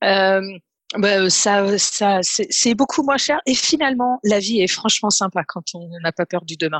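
A woman's medium-pitched voice at a very slow pace, with lively intonation and hardly any pauses, dry, close sound with no echo, over a quiet background. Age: 30s. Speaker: program participant giving testimonial. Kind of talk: testimony. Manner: halting.

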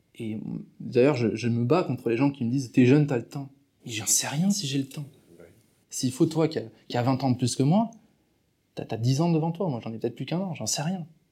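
A fairly high male voice, dark and mellow in tone and somewhat breathy, with lively intonation, a fairly quick pace and long, frequent pauses, on a very clean recording with a silent background. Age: 20s. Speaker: entrepreneur coach and speaker. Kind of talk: interview.

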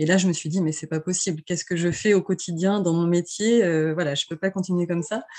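Her voice fairly low with a dark, mellow tone, a woman talks at a fairly quick pace with hardly any pauses and fairly even intonation. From France, Vendée coast. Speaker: travel agency founder. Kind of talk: interview. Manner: hesitant, many fillers.

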